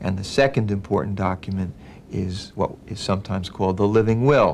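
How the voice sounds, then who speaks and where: The man's pitch sits fairly low, and his pace is fairly quick. He has an unremarkable speaking voice. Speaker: elder law attorney. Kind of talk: explanatory talk to a client.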